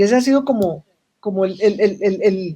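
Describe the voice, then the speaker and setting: Lively intonation marks a woman's fairly high-pitched voice. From Colombia. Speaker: social business expert. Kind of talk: panel conversation.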